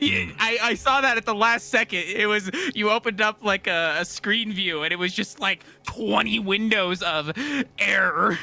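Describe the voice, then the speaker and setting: Over noticeable background noise, a man uses a raised, projected, squeaky voice at a high pitch, with ordinary pitch variation and very even loudness. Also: moderate pace. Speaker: game vehicle designer. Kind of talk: casual chat.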